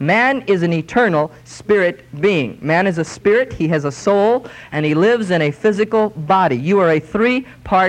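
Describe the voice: Plain reading aloud is what the clip holds.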